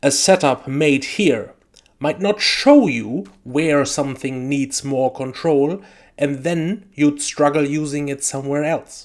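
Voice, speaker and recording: On a very clean recording with a silent background, a man with a fairly high pitch speaks at a very slow pace. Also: ordinary pitch variation. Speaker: sim racing video creator. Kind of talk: tutorial.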